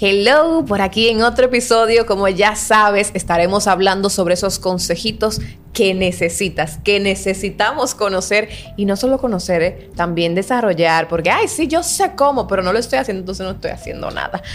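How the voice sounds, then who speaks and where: A woman's medium-pitched voice with ordinary variation at a moderate pace, over noticeable background noise. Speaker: podcast co-host. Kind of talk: casual chat. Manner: animated.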